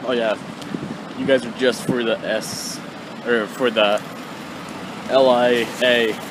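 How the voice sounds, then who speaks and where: Very slow, mumbling speech in a monotone, flat intonation, with long, frequent pauses and noticeable background noise. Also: man, medium pitch for a man. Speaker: vlogger. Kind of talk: casual vlog talk. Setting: outdoors on a bike.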